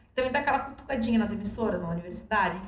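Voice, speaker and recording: A woman speaks at a very fast pace. Audible room echo and noticeable background noise fill the recording. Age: 40s. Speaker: journalist. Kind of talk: casual interview chat.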